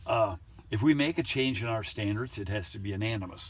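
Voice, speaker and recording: Lively intonation marks this man's fairly low, somewhat breathy voice, delivered at a moderate pace. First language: Low German (Pennsylvania Dutch). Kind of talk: guided tour talk.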